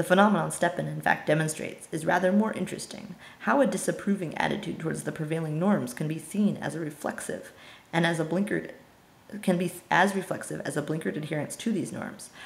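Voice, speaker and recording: This woman speaks at a very fast pace. Her pitch sits fairly low. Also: ordinary pitch variation. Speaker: amateur reader of philosophy. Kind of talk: audiobook reading of philosophy text.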